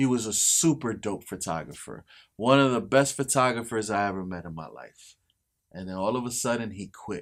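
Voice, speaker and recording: A man speaks in a normal speaking voice at medium pitch and a moderate pace, with lively intonation and big swings in loudness. The recording is very clean, with a silent background. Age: 40s. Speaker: photographer and filmmaker. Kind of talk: casual chat.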